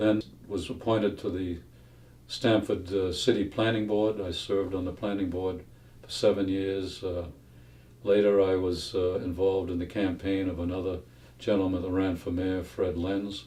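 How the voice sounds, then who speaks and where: A man with an American accent and a very deep, low voice speaks at a moderate pace in a monotone, flat way, his dark, mellow tone somewhat breathy against audible room echo. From Massachusetts. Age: 80s+. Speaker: retired FBI agent. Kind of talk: interview testimony. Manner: halting, many fillers.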